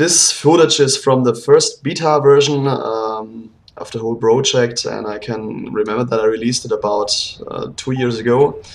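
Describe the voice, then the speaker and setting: With a non-native accent, a man speaks at a moderate pace and medium pitch, his pitch varying in an ordinary way while his loudness swings widely. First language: not English. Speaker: game developer. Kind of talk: commented gameplay walkthrough. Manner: hesitant, many fillers.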